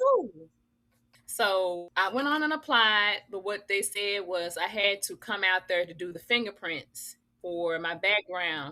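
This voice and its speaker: In an American accent, a woman speaks at medium pitch with a bright, sharp tone and ordinary pitch variation. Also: fairly slow pace. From US South, Memphis, Tennessee. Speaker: author and wellness business owner. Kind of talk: interview storytelling. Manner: casual, conversational.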